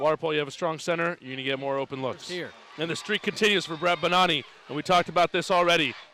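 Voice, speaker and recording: There is noticeable background noise behind this man. His high pitch varies in an ordinary way. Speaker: sports broadcast commentator (water polo play-by-play). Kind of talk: live sports broadcast commentary.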